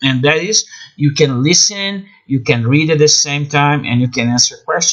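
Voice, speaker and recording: Speaking at a moderate pace, a man with a Brazilian accent uses a fairly high pitch and ordinary pitch variation. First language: Portuguese. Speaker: English teacher and self-published author. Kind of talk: promotional talk about own books. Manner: halting, with fillers and restarts.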